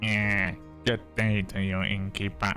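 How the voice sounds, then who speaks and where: A man uses a put-on character voice with a fairly low pitch at a fairly slow pace. Music plays clearly in the background. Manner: nerdy, exaggerated.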